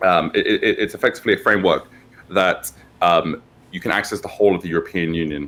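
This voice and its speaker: A man in a British accent at a very fast pace. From UK. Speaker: tech company founder and CEO. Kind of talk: interview. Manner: hesitant, many fillers.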